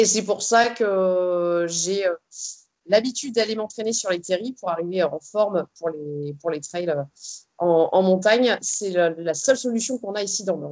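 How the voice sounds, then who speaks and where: Her pitch medium and her pitch variation ordinary, a woman speaks at a moderate pace. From northern France, Arras. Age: 30s. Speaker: ultra trail runner. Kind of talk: interview. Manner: hesitant, many fillers.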